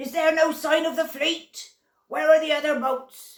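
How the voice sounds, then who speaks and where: In a put-on character voice, a woman speaks at a moderate pace with an extremely high pitch and fairly even intonation. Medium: read story. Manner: gruff, impatient.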